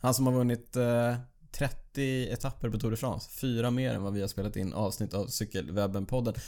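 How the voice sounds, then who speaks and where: A man with a dark, mellow tone at medium pitch speaks at a fairly quick pace with fairly even intonation in a very clean recording with a silent background. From Sweden, Borås. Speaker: podcast host, amateur cyclist. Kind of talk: casual chat. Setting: studio.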